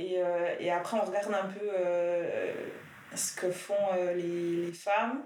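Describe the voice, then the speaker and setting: In a room with audible echo and noticeable background noise, a woman speaks very slowly at a medium pitch, with fairly even intonation. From Biel/Bienne, Switzerland. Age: 20s. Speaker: nurse and feminist activist. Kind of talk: casual discussion. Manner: hesitant, many fillers.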